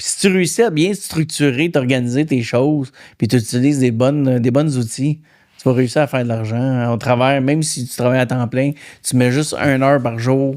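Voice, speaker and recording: With a Quebec accent, a man speaks at medium pitch and a moderate pace, his intonation fairly even. The recording is very clean, the background silent. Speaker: podcast host. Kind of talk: casual interview.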